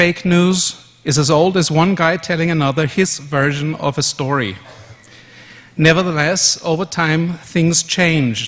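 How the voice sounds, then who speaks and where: A man speaks with a German accent at a fairly slow pace. His pitch is fairly high. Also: fairly even intonation. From Austria, Vienna. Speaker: conference speaker. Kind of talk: conference presentation.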